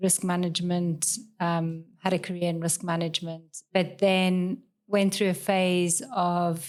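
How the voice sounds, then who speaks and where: A woman speaks with a South African accent. Her pitch sits in the middle range. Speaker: law lecturer. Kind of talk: casual chat.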